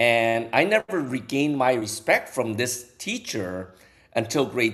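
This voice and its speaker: At a fairly slow pace, a man with a slight non-native accent speaks at a medium pitch with ordinary pitch variation. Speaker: co-host. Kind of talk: casual chat. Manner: halting, repeats words.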